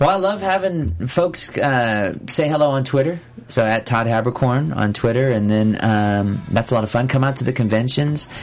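This man talks at a moderate pace with medium pitch and lively intonation. He hardly pauses, and noticeable background noise runs underneath. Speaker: voice actor. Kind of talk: casual chat. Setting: studio. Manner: animated.

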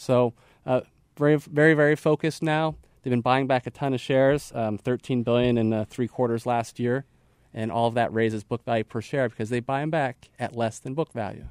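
Using a normal speaking voice, a man talks at a fairly quick pace with fairly even intonation and a medium pitch. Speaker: investment analyst. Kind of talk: casual chat about stock picks. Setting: studio.

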